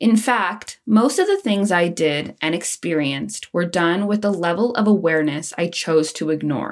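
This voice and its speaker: Using ordinary pitch variation, a woman with a fairly low pitch keeps a moderate pace with hardly any pauses. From Canada, Nova Scotia (near Halifax). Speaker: mental health podcast host. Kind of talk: scripted personal monologue.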